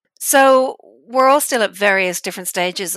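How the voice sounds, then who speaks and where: At a moderate pace, a woman talks in a normal speaking voice, her pitch varying in an ordinary way. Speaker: podcast host and veterinarian. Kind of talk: interview.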